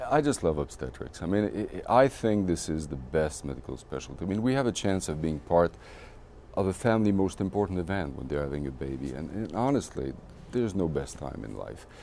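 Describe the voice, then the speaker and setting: A man with a French accent, very deep and low in pitch, dark and mellow in tone, with very wide pitch swings and a fairly quick pace. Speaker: obstetrician. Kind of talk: interview. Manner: animated.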